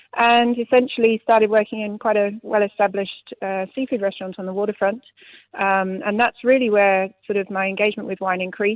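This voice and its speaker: This woman talks at a fairly quick pace in a medium pitch, with a British accent. Her intonation is flat and monotone. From UK. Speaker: sommelier. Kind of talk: radio interview. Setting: live radio.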